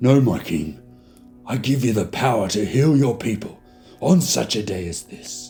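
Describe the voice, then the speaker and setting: A man puts on a raspy character voice at medium pitch and a moderate pace. Clear music sounds in the background. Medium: read story. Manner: measured, respectful.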